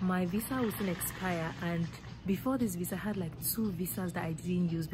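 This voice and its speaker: A woman's fairly low voice over music in the background. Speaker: travel vlogger. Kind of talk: casual vlog chat. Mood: excited, laughing. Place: station. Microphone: phone near.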